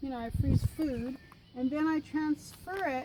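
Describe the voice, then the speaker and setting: Through noticeable background noise, a woman talks at a high pitch with ordinary pitch variation. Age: 70s. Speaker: travel vlogger. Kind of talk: casual chat.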